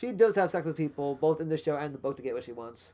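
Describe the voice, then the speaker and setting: A man with a fairly high pitch has a dark, mellow tone. The recording is very clean with a silent background. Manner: fast talker.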